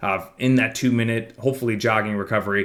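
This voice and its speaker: Mumbling from a man at medium pitch, with fairly even intonation. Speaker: fitness coach. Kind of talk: casual monthly program overview talk.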